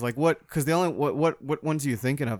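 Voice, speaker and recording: This very clean recording has a silent background. A man speaks with ordinary pitch variation. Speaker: podcast host. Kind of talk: casual chat.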